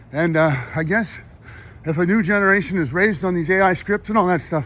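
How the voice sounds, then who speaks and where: The voice is a man's. It has a high pitch with ordinary variation. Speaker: vlogger. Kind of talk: casual monologue vlog. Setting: outdoors, walking home. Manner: halting, many fillers.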